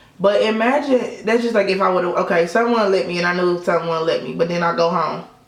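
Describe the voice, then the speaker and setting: Talking very fast with hardly any pauses, a woman with an American accent uses a medium pitch, an animated tone and ordinary pitch variation, amid audible room echo and noticeable background noise. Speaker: beauty vlogger. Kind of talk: casual chat.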